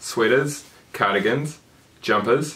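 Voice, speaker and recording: Noticeable background noise sits behind a man at medium pitch whose intonation is lively. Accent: New Zealand. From New Zealand. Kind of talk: casual talk to camera.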